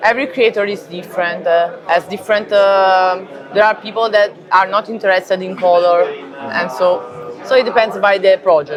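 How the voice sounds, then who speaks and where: A woman's medium-pitched voice in an Italian accent, with music in the background. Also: ordinary pitch variation, moderate pace. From Italy. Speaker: comic book artist. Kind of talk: interview. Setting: convention. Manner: halting, many fillers.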